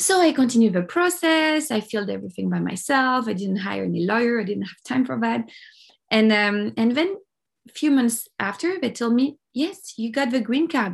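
A woman with a French accent speaks at a fairly high pitch. Her intonation is lively, and the background is quiet. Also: moderate pace. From France, Paris. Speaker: life coach and documentary producer. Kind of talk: interview, personal story.

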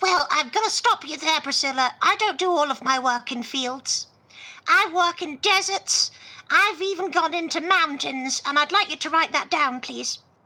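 The voice keeps a moderate pace with ordinary pitch variation. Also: woman, extremely high pitch for a woman. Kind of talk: comic improvised radio-play acting. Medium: audio drama.

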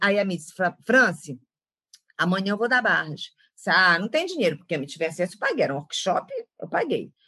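A woman speaks in a northern Brazilian accent. Her pitch swings very widely. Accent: northern Brazilian (Pará). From Belém do Pará, northern Brazil. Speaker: facilitator, former psychologist. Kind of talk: interview.

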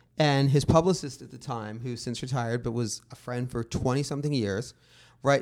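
In a very clean recording with a silent background, a man with an American accent speaks in a normal speaking voice at a medium pitch. His pace is fairly quick and his intonation fairly even. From Los Angeles, San Fernando Valley. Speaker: music journalist. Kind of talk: casual chat.

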